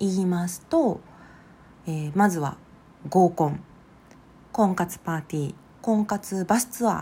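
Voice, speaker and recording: A woman's fairly low, somewhat breathy voice, dark and mellow in tone, with lively intonation at a fairly slow pace. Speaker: psychological counselor and podcast host. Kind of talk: solo podcast monologue.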